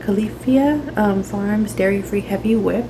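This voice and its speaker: There is noticeable noise behind the speaker. She is a woman talking at a fairly slow pace. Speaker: lifestyle vlogger. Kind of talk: casual vlog tutorial. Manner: hesitant, many fillers.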